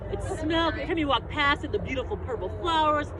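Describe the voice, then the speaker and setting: The speaker talks at a fairly quick pace while crowd noise carries in the background. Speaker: master gardener giving a class. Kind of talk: lecture; casual chat. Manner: loud. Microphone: speaking without a microphone.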